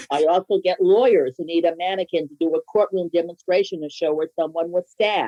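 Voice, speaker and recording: A woman with an ordinary speaking voice talks at a fairly quick pace in a fairly low pitch, with fairly even intonation, hardly any pauses and big swings in loudness. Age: 60s. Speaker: business owner. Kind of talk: interview.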